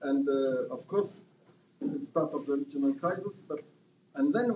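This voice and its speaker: In a French accent, a man speaks at a moderate pace with very wide pitch swings. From France. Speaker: panel speaker at activist conference. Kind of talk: conference talk. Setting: conference with audience. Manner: halting, many fillers.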